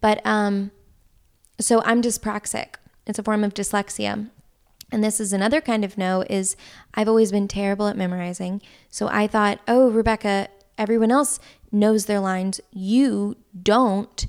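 In a very clean recording with a silent background, a woman with an American accent speaks at a moderate pace and medium pitch, with fairly even intonation and long, frequent pauses. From US South. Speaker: actress. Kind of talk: casual chat.

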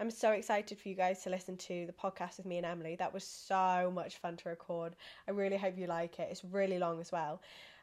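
A woman speaks very fast in an English accent. The background is quiet. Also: medium pitch for a woman. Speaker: podcast host. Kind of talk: casual chat. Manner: animated.

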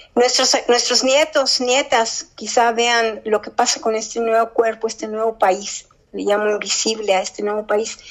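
A woman with a plain, everyday voice and a fairly high pitch speaks at a fairly slow pace. Her intonation stays fairly even, and she hardly pauses. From US Midwest and South (Kansas City, Memphis). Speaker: poet. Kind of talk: interview; poetry reading.

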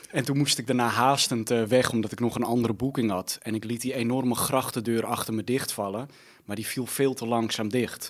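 An unremarkable speaking voice from a man, fairly quick in pace, with fairly even intonation. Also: medium pitch for a man. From Netherlands, Almere. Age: 30s. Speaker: media personality. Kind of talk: casual chat. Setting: studio.

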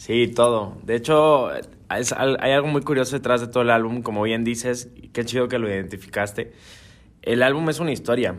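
Fairly even intonation and a moderate pace from a man with an ordinary speaking voice at medium pitch. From Guadalajara, Mexico. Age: young. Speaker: singer-songwriter. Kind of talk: interview.

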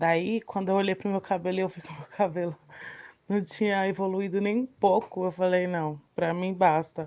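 A woman with a plain, everyday voice, medium pitch, moderate pace, fairly even intonation and big swings in loudness. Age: 30s. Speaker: self-employed cake seller. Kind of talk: interview.

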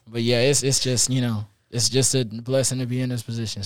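Speaking with an American accent, a man delivers his words at medium pitch in a monotone, flat intonation at a fairly quick pace. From Columbia, South Carolina. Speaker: college student musician. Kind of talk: casual interview. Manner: casual, filler-heavy.

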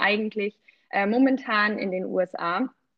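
A woman's fairly high voice with lively intonation. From rural Germany. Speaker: travel podcast co-host. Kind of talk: casual chat.

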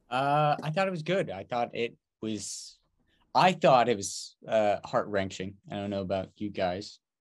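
On a very clean recording with a silent background, a man speaks fairly slowly at a medium pitch with very wide pitch swings. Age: 20s. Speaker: podcast co-host. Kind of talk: casual chat.

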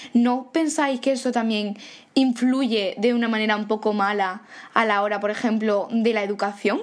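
A woman with an unremarkable speaking voice talks at a fairly high pitch and a moderate pace, her intonation fairly even. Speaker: podcast host. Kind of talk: casual chat.

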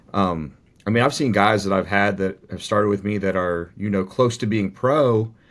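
Over a silent background in a very clean recording, a man talks at a moderate pace in a normal speaking voice with ordinary pitch variation. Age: 30s. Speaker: bodybuilding coach and athlete. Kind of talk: casual chat.

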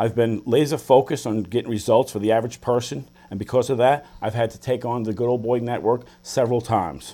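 In a very clean recording with a silent background, a man with a New York accent speaks fairly quickly at a medium pitch, his tone dark and mellow and his loudness swinging widely. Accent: New York City. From the Bronx, New York City. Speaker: politician and businessman. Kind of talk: political debate.

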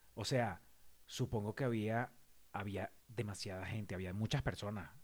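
On a very clean recording with a silent background, a man speaks in a plain, everyday voice, fairly low-pitched, with ordinary pitch variation at a moderate pace. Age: 40s. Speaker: podcast co-host. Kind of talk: casual chat.

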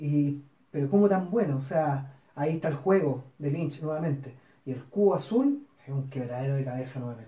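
Moderate-paced speech with a Chilean accent. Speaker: film podcast co-host. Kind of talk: casual chat.

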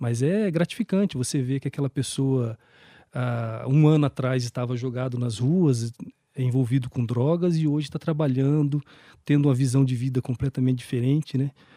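Dry and close with no echo, a man's dark, mellow voice moves at a moderate pace with medium pitch and ordinary pitch variation. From Brazil, Campo Grande (Mato Grosso do Sul). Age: 40s. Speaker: municipal human rights official. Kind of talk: interview.

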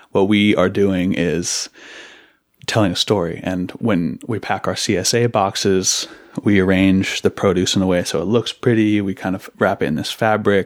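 With an American accent, a man speaks at a moderate pace in a fairly low pitch with fairly even intonation and an unremarkable speaking voice. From Seattle, Washington. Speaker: farmer. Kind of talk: interview conversation. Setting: in-person in an office.

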